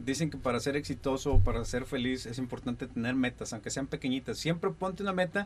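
Music plays in the background as a man talks very fast at a medium pitch with ordinary pitch variation. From Linares, Nuevo León, Mexico. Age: 40s. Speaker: radio announcer and TV news presenter. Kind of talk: casual interview chat.

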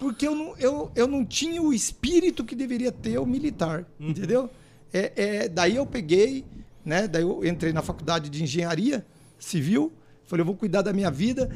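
Speech moves at a moderate pace. Its pitch rises and falls very widely. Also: man, high pitch for a man. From Paraná, Brazil. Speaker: mayor. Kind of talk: interview. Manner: halting, repeats words.

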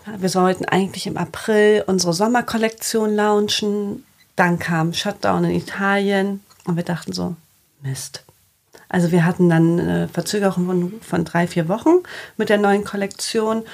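Using a plain, everyday voice, a woman talks at a moderate pace in a medium pitch with fairly even intonation. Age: 30s. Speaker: fashion label founder. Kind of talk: casual interview.

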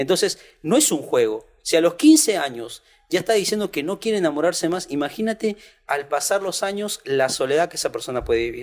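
Speaking at a fairly quick pace, a man with a high pitch moves through very wide pitch swings. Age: 30s. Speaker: youth pastor. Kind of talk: casual chat.

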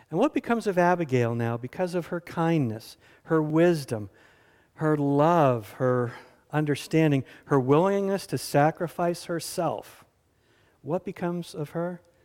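A man with an American accent uses a plain, everyday voice at a fairly high pitch. He talks at a fairly slow pace with lively intonation. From US South. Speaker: pastor. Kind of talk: sermon. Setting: church.

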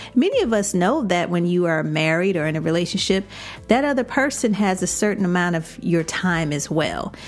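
With noticeable background noise, a woman with an American accent talks at a fairly quick pace with lively intonation. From Chicago. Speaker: podcast host and life coach. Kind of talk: casual monologue. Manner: animated.

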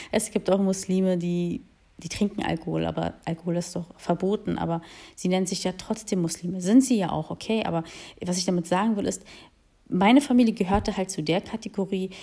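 This woman has a dark, mellow tone at medium pitch, talking at a fairly quick pace with ordinary pitch variation. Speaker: podcaster. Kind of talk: solo monologue. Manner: spontaneous, hesitant with fillers.

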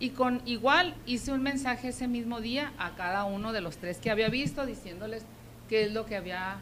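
A woman talks at a moderate pace with a fairly high pitch and lively intonation. Noticeable background noise is present. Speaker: schoolteacher and local party activist. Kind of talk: interview.

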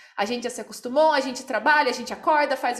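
A woman with a high voice talks very fast with fairly even intonation. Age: 20s. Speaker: podcast host. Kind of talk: casual chat.

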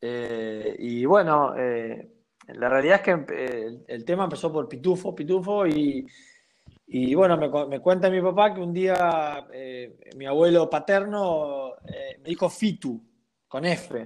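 A man at a fairly high pitch, very slow, with lively intonation and big swings in loudness. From Argentina, Santa Fe province. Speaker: professional basketball player. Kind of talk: casual interview. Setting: at home. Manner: halting, many repetitions.

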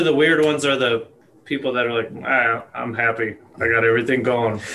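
A man's voice amid noticeable background noise. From Colorado (moved from Arizona at eight). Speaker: podcast fan and friend of the hosts. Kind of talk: casual chat.

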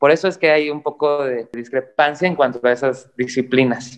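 Music plays in the background as a man with a fairly high pitch talks at a moderate pace with fairly even intonation. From Mexico. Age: 30s. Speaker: professional climber. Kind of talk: casual chat.

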